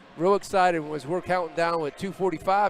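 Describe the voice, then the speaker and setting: A man with a high pitch speaks fairly quickly, with ordinary pitch variation and noticeable background noise around him. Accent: American. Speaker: sports commentator. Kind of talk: live commentary. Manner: loud.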